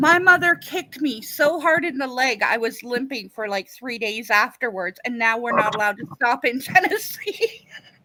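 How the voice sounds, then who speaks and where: A woman speaks in a high pitch with very wide pitch swings and hardly any pauses. Noticeable background noise can be heard. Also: moderate pace. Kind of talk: casual chat. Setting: live stream.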